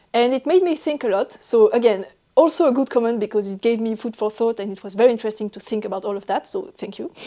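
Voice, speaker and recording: A woman with a French accent talks at a very fast pace and a fairly high pitch. Her dark, mellow tone carries lively intonation and big swings in loudness. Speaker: knitting podcaster. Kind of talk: casual chat. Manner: talks while laughing.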